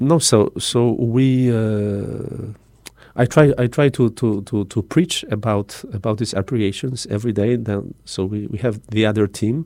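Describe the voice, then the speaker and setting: A man speaks with a Polish accent in a dark, mellow tone at a medium pitch. His pace is fairly slow, with ordinary pitch variation. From southern Poland, Tarnów. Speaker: missionary priest. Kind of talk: radio interview. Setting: studio. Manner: halting.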